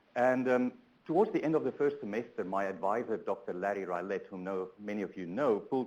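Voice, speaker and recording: With a South African accent, a man talks at a fairly quick pace and medium pitch with lively intonation. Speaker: transportation researcher, keynote speaker. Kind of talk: conference keynote talk. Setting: conference room, also webinar. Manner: hesitant, many fillers.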